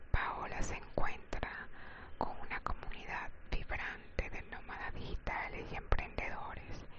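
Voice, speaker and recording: Someone whispers at a very slow pace. Noticeable background noise sits under the voice. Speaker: ASMR channel host and story reader. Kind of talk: whispered ASMR story reading; sleep-oriented relaxation reading. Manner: whispered, soft.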